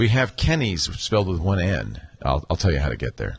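A man's very deep, low voice at a moderate pace amid noticeable background noise. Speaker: podcast host. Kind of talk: casual banter in live podcast pre-show. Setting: live studio broadcast.

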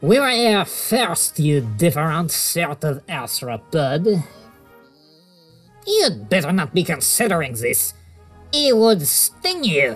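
Over faint music in the background, a voice at a middle pitch moves at a fairly slow pace with long, frequent pauses. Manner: snooty, hostile.

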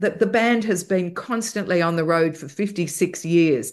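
In an Australian accent, a woman speaks at medium pitch and a moderate pace with ordinary pitch variation against a quiet background. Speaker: broadcaster and music podcaster. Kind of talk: casual interview chat. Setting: video call.

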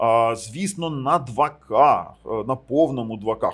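An unremarkable speaking voice from a man, medium in pitch, with ordinary pitch variation. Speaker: tech reviewer. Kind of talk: product review. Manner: casual, conversational.

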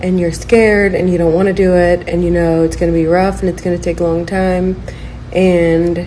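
A woman talks at a moderate pace and a fairly low pitch, with little pitch movement. Clear background noise is audible.

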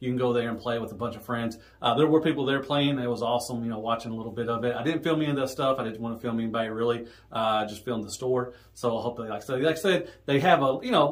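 A man rattles along at a very fast pace with hardly any pauses. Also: fairly even intonation. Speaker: toy collector vlogger. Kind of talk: casual vlog chat. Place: home room.

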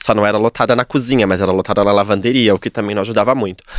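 Recorded against a quiet background, a man's voice comes through dry, with no echo. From São Paulo, Capão Redondo; São Paulo. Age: 30s. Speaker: hairdresser; podcast guest. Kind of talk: casual interview chat. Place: studio. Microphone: studio mic.

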